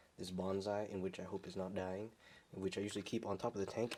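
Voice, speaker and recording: A soft-spoken man talks with a fairly low pitch. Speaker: pet keeper vlogger. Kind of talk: casual video tour. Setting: at home, room with tanks. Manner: quiet, talking softly; halting, many fillers.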